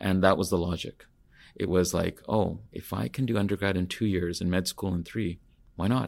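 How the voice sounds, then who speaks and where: Very deep, low male tones with mostly level intonation. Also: very clean recording, silent background. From northern British Columbia, Canada. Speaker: physician and medical school dean. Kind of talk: interview.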